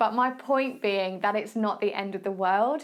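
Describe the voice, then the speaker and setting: A woman speaks at a fairly quick pace and a medium pitch. The recording is very clean, with a silent background. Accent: Essex. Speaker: fitness and nutrition coach, podcast host. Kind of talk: casual advice talk. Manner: casual, chatty.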